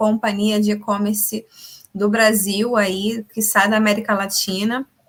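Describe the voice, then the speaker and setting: A woman speaks at a very slow pace with a fairly high pitch. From Rio de Janeiro, Brazil. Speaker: production engineer, lean coordinator. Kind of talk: live interview. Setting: live stream.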